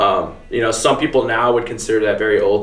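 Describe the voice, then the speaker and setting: Fairly quick, monotone speech with flat intonation over noticeable background noise. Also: man. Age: 20s. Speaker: vintage clothing store owner. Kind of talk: interview answer.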